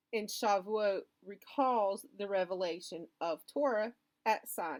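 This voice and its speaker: Here a woman talks at a medium pitch. Her pitch varies in an ordinary way. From US South. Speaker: educational YouTuber. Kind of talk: educational talk.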